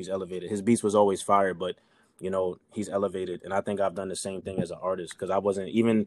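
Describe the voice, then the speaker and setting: Very fast and monotone, a man with a New York accent talks in a very deep, low voice. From New York City, Queens. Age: 30s. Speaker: rapper. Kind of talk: casual interview chat. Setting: remote call.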